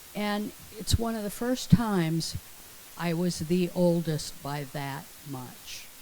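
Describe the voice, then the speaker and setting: A fairly low-pitched woman's voice, very slow in pace, with lively intonation. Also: big swings in loudness. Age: 70s. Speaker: congregation member. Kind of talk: personal story sharing.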